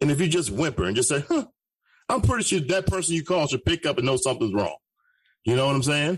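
This man's voice sits fairly high, with vocal fry and very wide pitch swings. The recording is very clean, with a silent background. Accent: American. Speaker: radio host. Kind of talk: casual chat.

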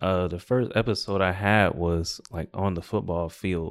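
Against a silent background in a very clean recording, a man speaks at a very deep, low pitch and a fairly slow pace, with fairly even intonation. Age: 20s. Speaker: podcast guest living with epilepsy. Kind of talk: casual chat.

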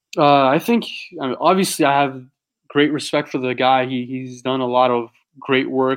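Speaking at a moderate pace, a man with an unremarkable speaking voice sits at a fairly high pitch. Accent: American. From San Diego, California. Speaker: online predator catcher, founder of activist group. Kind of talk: interview. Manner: casual, filler-heavy.

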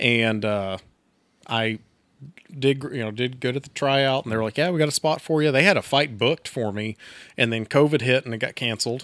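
A man with an American accent and an unremarkable speaking voice, medium pitch and fairly quick pace, on a very clean recording with a silent background and a dry, close sound with no echo. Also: ordinary pitch variation. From Texas. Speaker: firefighter and brewery worker. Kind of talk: casual chat. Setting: studio.

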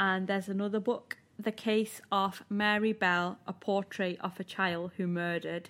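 A woman with a Manchester accent speaks in a monotone, flat intonation, with hardly any pauses. The recording is very clean, with a silent background. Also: medium pitch for a woman, moderate pace. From north of England. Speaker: podcast co-host. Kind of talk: casual chat and reading aloud.

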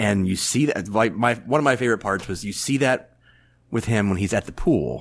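Using an ordinary speaking voice, a man talks at a fairly quick pace at medium pitch with ordinary pitch variation against a quiet background. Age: 40s. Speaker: movie fan guest. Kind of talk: casual chat.

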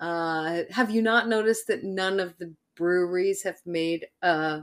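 Woman with an American accent and a normal speaking voice at medium pitch, fairly slow pace, on a very clean recording with a silent background. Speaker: podcast host. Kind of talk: casual chat, true crime podcast.

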